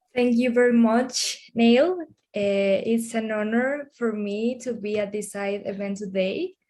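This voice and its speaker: A woman speaks with a non-native accent at a fairly slow pace. Her voice is fairly high, with ordinary pitch variation and a dark, mellow tone. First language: Spanish. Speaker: drug policy researcher. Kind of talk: webinar panel talk.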